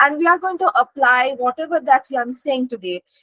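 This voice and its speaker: A woman speaks with a raised, projected voice at a high pitch and a moderate pace. Her intonation is lively, and the sound is dry and close with no echo. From India. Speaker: guest lecturer. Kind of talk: lecture.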